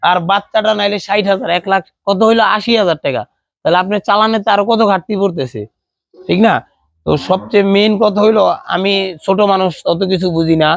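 A man's high-pitched voice, with fairly even intonation and very even loudness. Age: 20s. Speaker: dairy cattle farmer. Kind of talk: casual interview.

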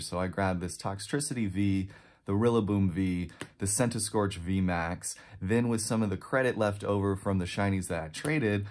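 Against a quiet background, a man speaks at a moderate pace in a fairly low pitch with ordinary pitch variation. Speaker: card collector vlogger. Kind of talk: casual vlog chat. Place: home room.

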